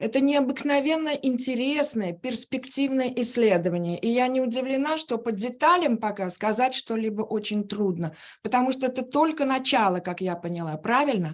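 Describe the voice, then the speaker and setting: A woman with a high voice and lively intonation speaks at a moderate speed. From Uzbekistan. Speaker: musicologist. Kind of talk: academic Q&A comment. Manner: quiet; halting.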